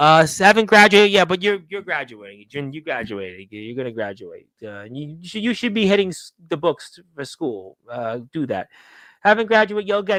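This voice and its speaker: The voice has a bright, sharp tone and a New York accent. It moves at a fairly quick pace with very wide pitch swings. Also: man, very clean recording, silent background. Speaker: wrestling talk show host. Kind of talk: live stream chat reading viewer comments.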